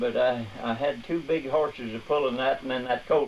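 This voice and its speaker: A man with a Midwestern US accent and a medium pitch, against noticeable background noise. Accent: rural Midwestern American. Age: 80s+. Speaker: retired farmer and milk route driver. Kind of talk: interview answer.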